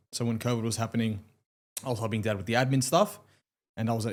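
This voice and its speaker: A man with an Australian accent at medium pitch, very fast pace and fairly even intonation, on a very clean recording with a silent background. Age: 20s. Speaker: lawyer. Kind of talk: casual chat.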